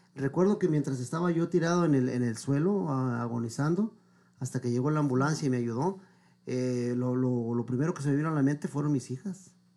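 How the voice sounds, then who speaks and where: A man talks at a fairly quick pace in a fairly high voice with a dark, mellow tone. His pitch varies in an ordinary way. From Mexico, Michoacán. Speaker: singer. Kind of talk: interview.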